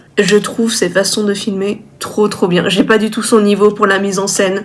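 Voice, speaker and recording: A woman with a fairly high pitch talks while noticeable background noise runs behind her. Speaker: illustrator vlogger. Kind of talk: casual vlog talk to camera. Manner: direct.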